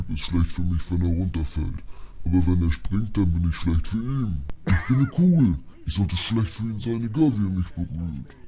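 With clear background noise behind him, a man performs a put-on character voice pitched very deep and low, moving at a moderate pace. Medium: fan dub. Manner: grumbling, aggrieved.

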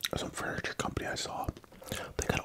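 Loud noise fills the background while a man speaks fairly quickly. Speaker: mukbang host. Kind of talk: casual vlog chat.

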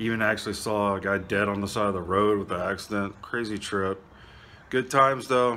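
The voice has a bright, sharp tone, fairly even intonation and a fairly quick pace. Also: man, fairly low pitch for a man. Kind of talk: casual vlog chat. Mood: relaxed, pleased. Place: garage. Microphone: phone near.

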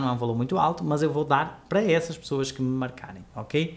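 A man is speaking. His pace is very fast. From Portugal. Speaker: photography teacher. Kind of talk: live online class. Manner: animated. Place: home room.

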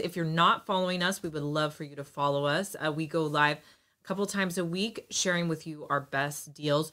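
A woman's bright, sharp voice at a fairly quick pace, over a quiet background. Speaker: live shopping host. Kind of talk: live stream product presentation. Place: home room.

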